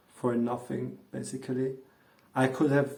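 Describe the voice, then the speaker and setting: Audible echo from the room fills the recording. The words come very slowly. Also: man. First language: not English (native language other). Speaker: vlogger. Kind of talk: casual monologue vlog. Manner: hesitant with fillers. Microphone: earphones mic, worse audio.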